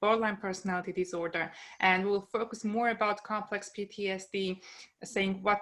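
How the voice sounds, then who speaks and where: Speaking at a moderate pace, a woman uses a bright, sharp tone at medium pitch with fairly even intonation. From Germany. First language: German. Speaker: psychologist. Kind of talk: lecture. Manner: hesitant, many fillers.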